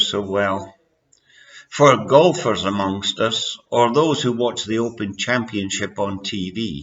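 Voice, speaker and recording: A man speaks with a Scottish accent. His pace is fairly slow, and his pitch varies in an ordinary way. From Scotland. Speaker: amateur author reading his own story. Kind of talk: reading aloud.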